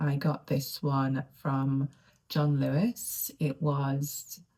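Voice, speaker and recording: A soft-spoken woman talks with a very deep, low pitch. Her voice is somewhat breathy, with a dark, mellow tone. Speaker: lifestyle vlogger. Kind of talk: casual vlog monologue. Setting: home study. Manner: quiet, soft-spoken.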